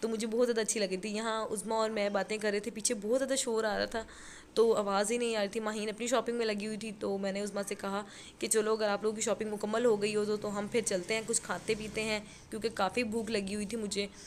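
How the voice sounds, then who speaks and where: A woman speaks fairly quickly at a fairly high pitch, her intonation monotone and flat. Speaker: family vlogger. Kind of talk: vlog voice-over narration. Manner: strained, struggling to speak.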